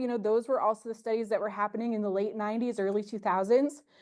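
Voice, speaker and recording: A woman talks at a very fast pace in an American accent, her pitch fairly high. The background is quiet. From US Midwest, northwest Ohio. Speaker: university professor and extension specialist. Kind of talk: conference presentation.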